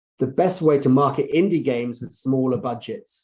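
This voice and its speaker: A man's voice sits at a medium pitch with a dark, mellow tone. He moves at a fairly quick pace. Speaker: marketing executive. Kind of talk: conference presentation. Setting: online conference talk. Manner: fast.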